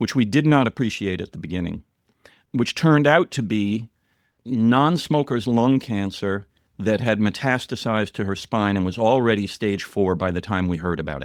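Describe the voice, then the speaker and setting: Against a quiet background, a man with an American accent and fairly low pitch uses an ordinary speaking voice, lively intonation and a moderate pace, in a dry, close sound with no echo. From US Northeast, New York City. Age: 60s. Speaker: writer and filmmaker. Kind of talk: podcast interview, personal story.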